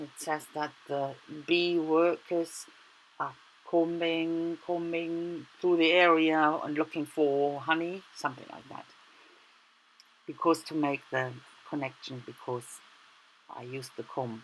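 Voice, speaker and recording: At a very slow pace with long, frequent pauses, a woman speaks in a very deep, low voice with fairly even intonation and big swings in loudness. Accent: German. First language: German. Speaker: art journaling YouTuber. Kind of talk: tutorial. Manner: casual, halting.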